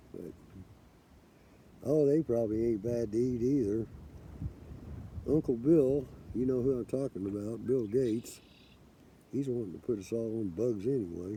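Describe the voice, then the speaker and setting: A man with an American accent speaks in a dark, mellow tone, with ordinary pitch variation and long, frequent pauses. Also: medium pitch for a man, moderate pace. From US Midwest, Kansas City. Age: 60s. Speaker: forager vlogger. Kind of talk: casual vlog monologue.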